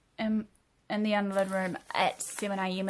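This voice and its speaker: On a very clean recording with a silent background, a woman of medium pitch speaks in a monotone, flat intonation. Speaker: spoken word poet. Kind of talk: spoken word poetry reading. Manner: emotional, earnest.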